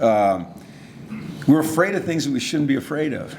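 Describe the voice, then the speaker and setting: A man speaks with ordinary pitch variation, noticeable background noise in the mix. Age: 60s. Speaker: football coach. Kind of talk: Q&A after keynote speech.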